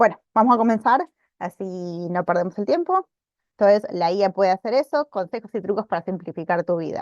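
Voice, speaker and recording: A woman at a medium pitch talks at a fairly quick pace with ordinary pitch variation, against a quiet background and a dry sound with no echo. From Argentina. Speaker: librarian teaching a workshop; webinar presenter. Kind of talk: online workshop presentation; lecture. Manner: frequent hesitations and repetitions. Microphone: video call.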